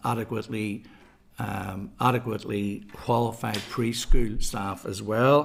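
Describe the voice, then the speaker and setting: Vocal fry marks a man's fairly low-pitched voice, which moves at a fairly slow pace. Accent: Belfast. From west Belfast, Northern Ireland. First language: Irish. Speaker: primary school principal giving evidence. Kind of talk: prepared committee briefing.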